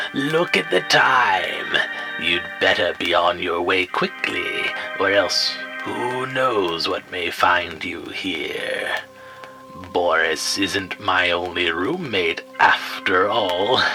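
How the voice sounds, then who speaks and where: Over clear background music, a man puts on a character voice and speaks at a very slow pace. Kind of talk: spooky campfire storytelling. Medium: audio drama. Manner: wry, self-aware, rambling.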